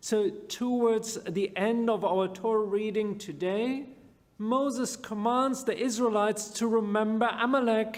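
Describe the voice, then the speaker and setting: Audible room echo surrounds a man with a non-native accent and a high pitch who speaks at a fairly slow pace with fairly even intonation. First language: not English. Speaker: rabbi. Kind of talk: sermon.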